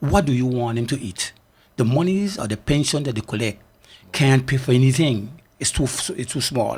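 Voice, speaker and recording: In a very clean recording with a silent background, a man talks at a moderate pace in a somewhat breathy, medium-pitched voice with lively intonation. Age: 70s. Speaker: community foundation volunteer. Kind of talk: radio talk show discussion. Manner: animated.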